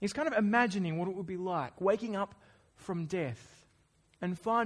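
In a natural reading voice, the pitch shifts in an ordinary way.

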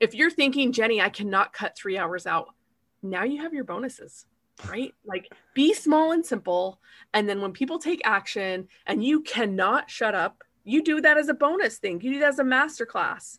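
A woman with an American accent speaks at a moderate pace in a high, bright, sharp voice with very wide pitch swings. The recording is very clean, with a silent background. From Utah. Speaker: gamification consultant. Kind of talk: interview.

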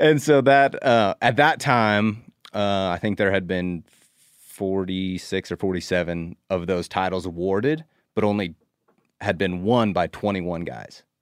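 A man with an American accent and a plain, everyday voice talks at a fairly slow pace with ordinary pitch variation, recorded dry and close with no echo against a quiet background. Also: fairly low pitch for a man. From US Northwest (Idaho). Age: 30s. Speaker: professional bass angler. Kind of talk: casual chat.

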